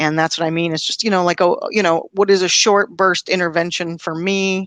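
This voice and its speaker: A woman talks at a fairly quick pace with a slight Pacific Northwest accent and a fairly low pitch. Her delivery is monotone and flat, and the sound is dry and close with no echo. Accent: mild Pacific Northwest. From US Pacific Northwest, Washington state. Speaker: learning and development professional, event founder. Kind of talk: interview conversation.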